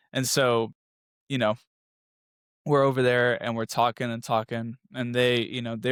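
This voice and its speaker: In a Spanish accent, a man speaks at a moderate pace and medium pitch, the sound dry and close with no echo on a very clean recording with a silent background. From US South, moved around. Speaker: architecture student, former track athlete. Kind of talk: casual interview. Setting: podcast.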